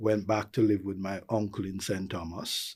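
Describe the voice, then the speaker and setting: A man speaks with a Jamaican accent at a fairly low pitch and a moderate pace. His intonation is fairly even, and the recording is very clean with a silent background. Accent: flat Jamaican. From Jamaica, rural Clarendon. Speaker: tourism executive. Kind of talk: interview.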